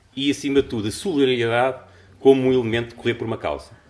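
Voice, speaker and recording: His delivery is very fast. This man's voice carries vocal fry. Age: 60s. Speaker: conference speaker, amateur marathon runner. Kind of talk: conference talk.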